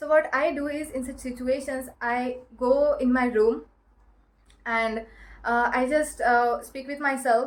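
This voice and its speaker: A woman with an Indian accent talks at a fairly slow pace and a high pitch. Her intonation is monotone and flat, while her loudness swings widely. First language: Marathi. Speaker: self-help vlogger. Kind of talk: advice talk to camera. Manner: halting, many fillers.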